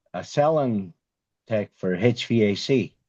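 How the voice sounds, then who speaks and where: A man talks with a strong Irish accent. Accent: thick Irish. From Ireland. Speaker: HVAC sales rep, former carpenter. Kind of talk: podcast interview answer, storytelling.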